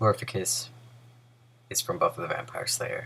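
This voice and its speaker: The words are mumbled. The pace is fairly quick. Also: man. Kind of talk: casual talk to camera. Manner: mumbling.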